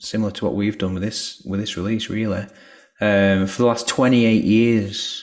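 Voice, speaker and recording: A man speaks in a Lancashire accent at a moderate pace. His fairly low voice holds a monotone, flat intonation. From northern England, Lancashire. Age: 40s. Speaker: musician. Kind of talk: video call presentation.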